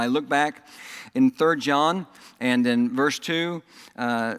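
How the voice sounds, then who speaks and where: This man speaks with a Southern accent. His voice is fairly high, with ordinary pitch variation. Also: very clean recording, silent background. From Oklahoma and Texas. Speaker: pastor. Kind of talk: sermon. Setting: church.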